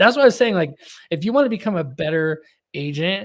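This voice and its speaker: A man's high voice with an American accent, very fast and lively in intonation. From Texas. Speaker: podcast host. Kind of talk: casual interview conversation.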